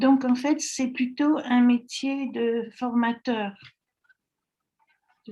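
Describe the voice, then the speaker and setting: Very slow and broken by long, frequent pauses, a woman's high-pitched voice has a dark, mellow tone and big swings in loudness. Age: 80s+. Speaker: network marketing distributor. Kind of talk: interview. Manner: hesitant, many fillers.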